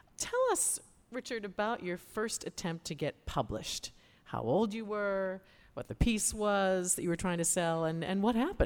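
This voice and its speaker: At a moderate pace, a woman speaks at a medium pitch with ordinary pitch variation in a plain, everyday voice. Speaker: radio host interviewer. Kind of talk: live radio interview. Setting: stage with live audience.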